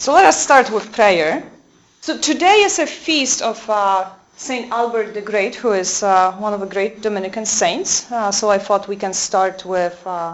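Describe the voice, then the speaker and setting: A woman's fairly slow speech with a Polish accent, medium pitch and ordinary pitch variation, over noticeable background noise. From Poland. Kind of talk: lecture. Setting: convent talk with audience. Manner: halting, many fillers.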